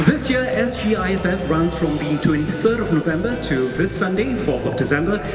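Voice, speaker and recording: With clear music in the background and audible room echo, a man speaks at a moderate pace with lively intonation. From Singapore. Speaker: bilingual event emcee. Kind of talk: live gala event hosting. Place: stage. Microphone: handheld.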